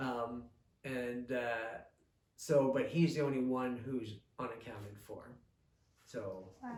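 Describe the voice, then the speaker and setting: A man's medium-pitched, somewhat breathy voice with fairly even intonation and big swings in loudness. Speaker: local historian and author. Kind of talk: oral history interview, explaining history. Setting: recorded at a museum interview.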